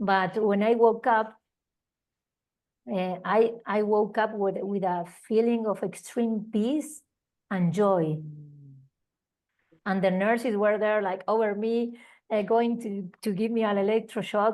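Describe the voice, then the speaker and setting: Fairly high-pitched and fairly slow, a woman speaks with an Argentine accent and fairly even intonation. Long, frequent pauses mark her speech over a quiet background. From Argentina. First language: Spanish. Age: 40s. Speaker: holistic healing teacher. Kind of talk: interview testimony. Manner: halting, with repetitions.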